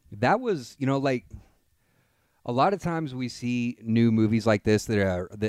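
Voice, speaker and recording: Heard against a silent background on a very clean recording, a man with a plain, everyday voice talks at a moderate pace. His pitch varies in an ordinary way, and the sound is dry and close with no echo. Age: 30s. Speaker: movie reviewer podcaster. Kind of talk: solo film review monologue.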